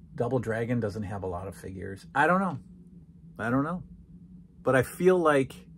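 With a slightly husky edge, a man speaks at a fairly slow pace and medium pitch, using ordinary pitch variation.

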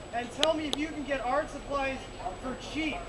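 A man's angry shouting over loud background noise. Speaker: rally speaker. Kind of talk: rally speech. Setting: outdoor rally with a crowd. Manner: impassioned, rising to angry shouts on key points; halting, with frequent filler words and repeated phrases. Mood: indignant, earnest. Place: street. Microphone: camera far.

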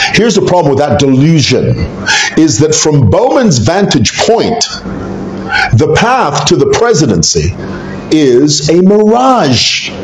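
Amid light background noise and audible room echo, a man speaks at a fairly slow pace and fairly high pitch, with very wide pitch swings and long, frequent pauses. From Zambia. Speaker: YouTuber commentator on Zambian politics. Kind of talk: casual video commentary. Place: home room.

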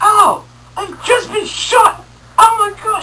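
This is a put-on character voice at an extremely high pitch. It moves at a very slow pace. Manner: comically pained, exaggerated.

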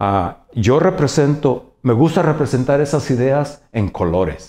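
A man speaks at a very slow pace with lively intonation. His tone is dark and mellow. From Mexico, Jalisco. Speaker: painter. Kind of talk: interview monologue. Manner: halting, many fillers and repetitions. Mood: warm, reflective storytelling. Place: office.

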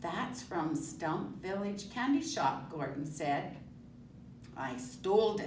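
Very slowly, a woman speaks at a fairly low pitch with very wide pitch swings. Audible room echo and light background noise fill the recording. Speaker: storyteller. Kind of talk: children's story read-aloud. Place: classroom. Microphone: camera far.

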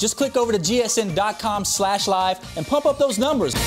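There is clear music in the background. Over it, a man speaks with a high pitch. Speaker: TV host. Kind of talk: game show hosting. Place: studio. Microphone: lapel.

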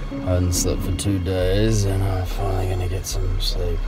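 A man's voice over loud background noise. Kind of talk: casual vlog chat. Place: boat. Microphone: phone near.

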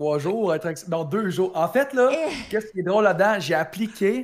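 A man with a Quebec accent talks in an energetic tone at a moderate pace, with ordinary pitch variation and a quiet background. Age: 20s. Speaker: Twitch streamer; interviewee. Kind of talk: interview. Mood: relaxed, animated storytelling. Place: home room. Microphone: new microphone; studio mic.

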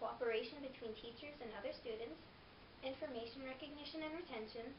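A woman talking at a very fast pace in a high pitch with ordinary pitch variation, over noticeable background noise. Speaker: presenter. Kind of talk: informational presentation. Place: empty room. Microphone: camera far.

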